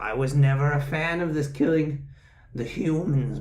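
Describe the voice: A man puts on a character voice and delivers it at a moderate pace. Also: fairly high pitch for a man.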